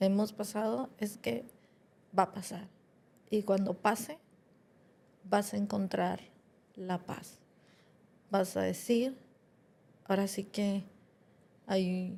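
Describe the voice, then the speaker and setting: A woman speaks at a very slow pace in a dark, mellow tone that is somewhat breathy. Her pitch varies in an ordinary way, and long, frequent pauses break up her speech. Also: medium pitch for a woman. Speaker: podcast co-host, granddaughter. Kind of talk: podcast conversation.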